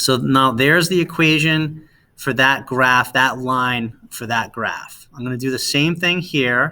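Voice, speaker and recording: With a bright, sharp tone, a man talks at a fairly slow pace with hardly any pauses. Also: medium pitch for a man, ordinary pitch variation. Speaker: science teacher. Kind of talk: tutorial. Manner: hesitant with fillers.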